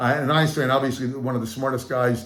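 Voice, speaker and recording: Audible room echo colors the voice of a man as he talks. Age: 60s. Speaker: motivational speaker and sales coach. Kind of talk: channel introduction talk. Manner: animated.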